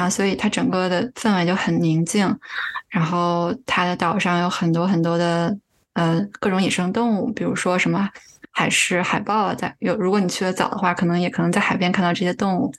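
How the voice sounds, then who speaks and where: A normal speaking voice from a woman, medium in pitch, fairly quick, with fairly even intonation and very even loudness. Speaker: user experience researcher. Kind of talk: casual interview chat.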